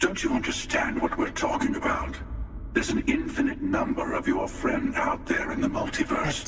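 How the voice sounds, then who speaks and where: Over loud background noise and a clear echo, a man uses a put-on character voice at an extremely high pitch, speaking at a moderate pace. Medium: game stream. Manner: persuasive, cool.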